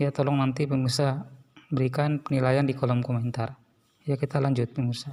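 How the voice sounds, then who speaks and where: At a fairly quick pace, a man talks in a monotone, flat intonation with very even loudness. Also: medium pitch for a man. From Sulawesi, Indonesia. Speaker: religious commentary host. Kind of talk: commentary on a video.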